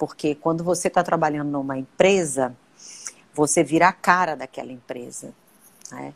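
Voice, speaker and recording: With a dry, close sound and no echo, a woman with a very deep, low pitch speaks at a moderate pace, with ordinary pitch variation and long, frequent pauses. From Brazil, Brasília. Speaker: personal marketing consultant, live stream host. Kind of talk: casual live stream chat. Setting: Instagram live video.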